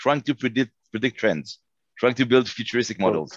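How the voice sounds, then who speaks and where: A man with an unremarkable speaking voice, fairly quick and lively in intonation, in a dry sound with no echo over a quiet background. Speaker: panel moderator. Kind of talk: panel discussion. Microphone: headset.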